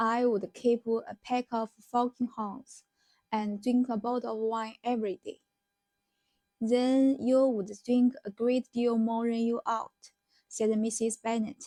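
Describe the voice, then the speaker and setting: A woman speaks at a very slow pace in a fairly high pitch, her tone dark and mellow. Her intonation is flat and monotone, and the sound is dry and close with no echo. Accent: Chinese. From China. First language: Chinese. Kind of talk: novel reading aloud.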